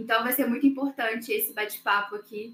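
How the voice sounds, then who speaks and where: A woman's fairly high voice with a slight mineiro accent, a fairly quick pace and fairly even intonation. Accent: slight mineiro accent (Minas Gerais). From Minas Gerais, Brazil. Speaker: webinar host, marketing staff. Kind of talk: live webinar hosting. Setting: online livestream.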